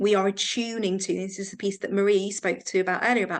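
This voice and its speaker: In an English accent, a woman speaks at a fairly quick pace and medium pitch with monotone, flat intonation. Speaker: counselling supervision trainer. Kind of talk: online training session discussion.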